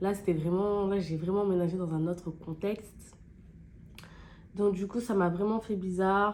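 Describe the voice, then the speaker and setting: A woman talks at a medium pitch in a monotone, flat intonation. Her pace is fairly slow, with long, frequent pauses. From France, Clermont-Ferrand area, of Guinean heritage. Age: 20s. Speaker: beauty YouTuber. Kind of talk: casual chat while doing makeup. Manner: casual, hesitant with many fillers.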